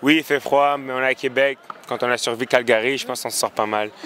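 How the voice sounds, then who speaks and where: Over noticeable background noise, a man with a medium pitch talks at a fairly quick pace with fairly even intonation. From France. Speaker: university football kicker. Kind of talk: post-game interview. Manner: hesitant, many fillers.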